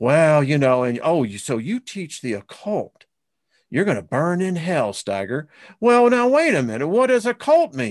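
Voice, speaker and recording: Over a quiet background, a man with a fairly high pitch talks at a fairly slow pace, his voice making very wide pitch swings. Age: 60s. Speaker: spiritual teacher and esoteric researcher. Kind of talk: interview.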